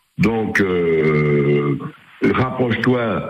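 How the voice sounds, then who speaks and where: The pitch swings very widely. Room echo is audible. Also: man. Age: 70s. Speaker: caller, amateur musician. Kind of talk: radio call-in. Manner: halting.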